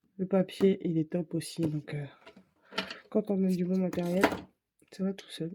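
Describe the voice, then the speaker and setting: A soft-spoken woman at a fairly slow pace, fairly even intonation, and long, frequent pauses. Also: medium pitch for a woman, big swings in loudness. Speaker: craft youtuber. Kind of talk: tutorial. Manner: casual.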